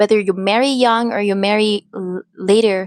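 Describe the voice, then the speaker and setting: The speaker has a Filipino accent and fairly even intonation. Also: woman, dry, close sound with no echo. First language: Filipino language. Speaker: faith vlogger and mother. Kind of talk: personal testimony. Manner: halting. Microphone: new microphone.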